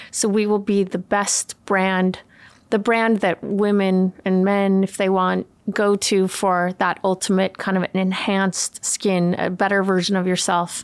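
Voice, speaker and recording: Speaking at a fairly slow pace, a woman holds a medium pitch with monotone, flat intonation and very even loudness. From California and Sweden. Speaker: makeup artist and beauty brand founder. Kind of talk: casual chat.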